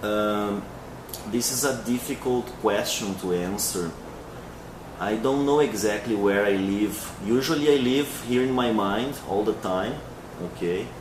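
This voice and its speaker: Through audible room echo and noticeable background noise, a man with a fairly low pitch speaks at a fairly slow pace with ordinary pitch variation and long, frequent pauses. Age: 20s. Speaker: English teacher. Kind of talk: interview. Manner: hesitant, with many fillers.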